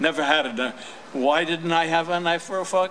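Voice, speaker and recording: With an American accent, a man talks at a moderate pace with ordinary pitch variation. Light background noise can be heard. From New York City. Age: 90s. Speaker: war veteran. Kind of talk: speech; public speech, personal recollection. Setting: stage with audience. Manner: halting. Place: street. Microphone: podium.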